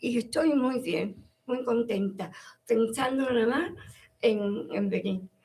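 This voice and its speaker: Fairly high-pitched, a woman speaks in a dark, mellow tone with lively intonation. Her pace is very slow, broken by long, frequent pauses. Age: 80s+. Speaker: Alzheimer's association member. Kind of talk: casual chat.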